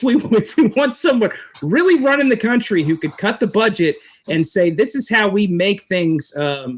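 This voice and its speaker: A man speaks at a high pitch. His voice moves through very wide pitch swings. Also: moderate pace. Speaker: street preacher. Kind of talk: interview answer, political commentary.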